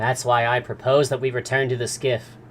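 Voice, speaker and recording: Over clear background noise, a man puts on a character voice at a medium pitch. His intonation is monotone and flat, and his pace is moderate. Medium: read story. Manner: formal, polite.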